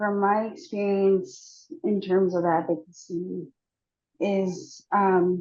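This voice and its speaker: The speaker here is a woman. She keeps her intonation fairly even. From Mi'kmaq, Chapel Island First Nation, Nova Scotia. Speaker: panelist, language teacher. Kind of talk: online panel discussion. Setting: online video event. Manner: halting, many fillers.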